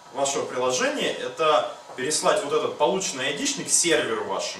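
Light background noise sits under a man's voice, which has noticeable room echo. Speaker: hackathon participant; presenter. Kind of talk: project presentation. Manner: halting. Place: meeting room. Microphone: camera far.

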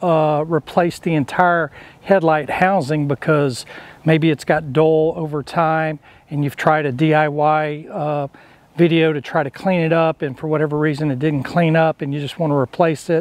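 A dry sound with no echo, a moderate pace and monotone, flat intonation. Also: man. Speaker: DIY video host. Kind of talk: tutorial. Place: garden. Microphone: lapel.

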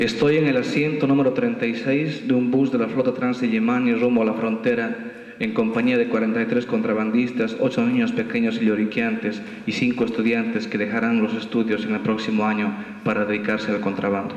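Heard with audible room echo, a man talks at a moderate pace with very even loudness and monotone, flat intonation. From Bolivia. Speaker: poet. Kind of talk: poetry reading at a festival, after a casual joking intro. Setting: stage with audience. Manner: rhythmic, staccato listing of images in the poem. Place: hall. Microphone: camera far.

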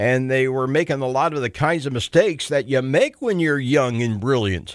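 A man with an unremarkable speaking voice talks at a moderate pace and a medium pitch, his intonation lively. The sound is dry with no echo, against a quiet background. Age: 60s. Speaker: talk radio host. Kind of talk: call-in talk radio. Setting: radio studio. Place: studio.

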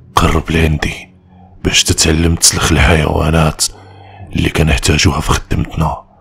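The speaker performs a put-on character voice. The pace is moderate. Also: man, very deep, low pitch for a man. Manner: sly, calm.

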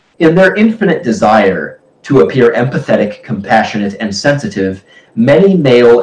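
A man with lively intonation at a moderate pace, with audible room echo. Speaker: book discussion host. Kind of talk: casual discussion, partly reading aloud. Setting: live stream. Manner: hesitant. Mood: wry, anecdotal. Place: home room. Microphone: video call.

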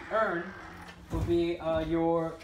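A man talks at a high pitch. Light background noise and audible room echo surround him. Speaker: army trainee and video creator. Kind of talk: casual vlog advice. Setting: barracks room, recorded by roommate. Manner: rambling, casual. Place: home room. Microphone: phone near.

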